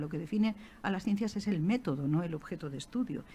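Somewhat breathy, a woman at a medium pitch speaks at a moderate pace in a dark, mellow tone with lively intonation. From Alicante, Spain. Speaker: archaeologist and historian. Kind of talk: talk to school students.

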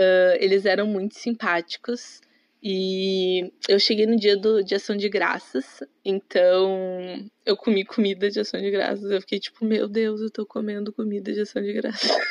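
A woman at a medium pitch talks fairly slowly in a monotone, flat intonation, with a dry, close sound and no echo. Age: 20s. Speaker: tourism student, former exchange worker. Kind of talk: casual interview chat.

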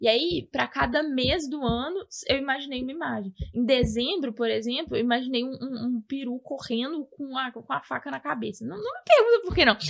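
A woman speaks at a high pitch with hardly any pauses. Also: ordinary pitch variation, moderate pace. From Brazil, Belo Horizonte. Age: 20s. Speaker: podcast guest, Brazilian emigrant. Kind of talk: casual chat. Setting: at her home.

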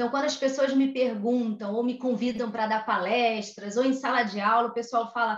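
A woman talks in a Rio de Janeiro accent. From Brazil, Rio de Janeiro. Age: 40s. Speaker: HR consultant. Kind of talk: interview. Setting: home office.

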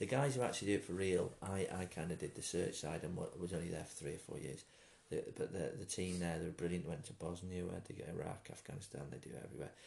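A man with a very deep, low voice talks very fast, with ordinary pitch variation. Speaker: former comedian, nurse and soldier. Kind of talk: casual interview chat.

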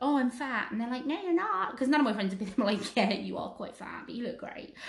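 A woman with an English accent speaks with ordinary pitch variation, and the room echo is audible. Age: 30s. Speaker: podcast co-host. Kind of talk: casual chat. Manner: animated.

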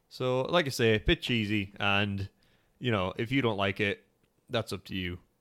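A man with a plain, everyday voice speaks at a moderate pace with a fairly low pitch and ordinary pitch variation, in a dry, close sound with no echo. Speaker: podcast host. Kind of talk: casual chat. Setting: home studio.

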